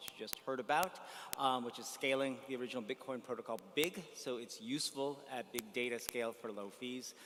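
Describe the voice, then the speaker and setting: Fairly quick and fairly even in intonation, a man with an American accent talks at medium pitch in an ordinary speaking voice. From United States. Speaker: blockchain entrepreneur. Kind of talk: panel discussion.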